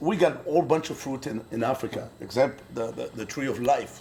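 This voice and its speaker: A man at a medium pitch delivers his words at a moderate pace, his pitch varying in an ordinary way, while noticeable background noise sits behind him. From Burkina Faso. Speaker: brewery co-owner. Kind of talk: interview.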